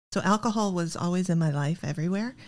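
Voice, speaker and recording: A woman with a Midwestern American accent talks at a fairly quick pace in a somewhat breathy, fairly low voice on a very clean recording with a silent background. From US Midwest, Iowa. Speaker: recovering alcoholic. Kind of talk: testimony.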